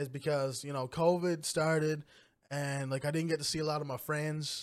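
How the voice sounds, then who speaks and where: In a very clean recording with a silent background, a man with an unremarkable speaking voice talks at a fairly high pitch and a moderate pace. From Newfoundland, Canada (small community). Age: 20s. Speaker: gamer and streamer. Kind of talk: casual interview chat.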